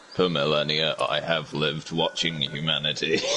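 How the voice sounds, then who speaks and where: A man's put-on character voice, very deep and low in pitch, at a moderate pace over clear background noise. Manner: menacing, ancient.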